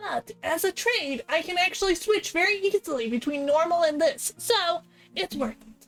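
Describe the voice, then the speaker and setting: A woman in a put-on character voice, raspy and extremely high-pitched, speaks at a moderate pace with very wide pitch swings and big swings in loudness while faint music plays in the background. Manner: easy switching between normal and this.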